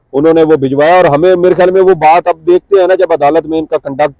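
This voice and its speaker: A man's dark, mellow tone with fairly even intonation and a dry, close sound with no echo. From Punjab, Pakistan. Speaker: court journalist. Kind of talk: political talk show discussion. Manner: hesitant, with many fillers.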